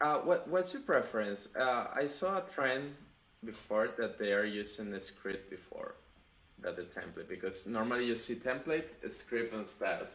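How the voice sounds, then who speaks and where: This man speaks with a non-native accent at a medium pitch. His intonation is lively. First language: not English. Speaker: web developer, channel host. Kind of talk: pair programming session. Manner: halting.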